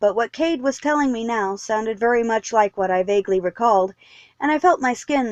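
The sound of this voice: An unforced reading voice carries the words.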